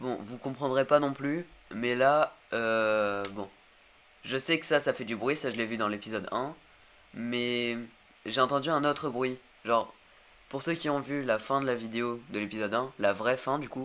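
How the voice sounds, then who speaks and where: Pausing long and often, a man speaks at a fairly slow pace and medium pitch with ordinary pitch variation. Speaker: gaming youtuber. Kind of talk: let's play commentary. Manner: hesitant, many fillers.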